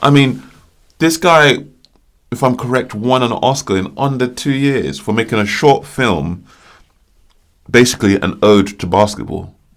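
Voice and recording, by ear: Lively intonation broken by long, frequent pauses. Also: man, medium pitch for a man, fairly slow pace.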